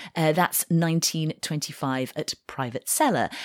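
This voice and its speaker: An unremarkable speaking voice, this woman talks at a fairly slow pace and fairly low pitch with ordinary pitch variation. The recording is very clean, with a silent background. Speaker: wine podcast host. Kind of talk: casual co-hosted podcast discussion.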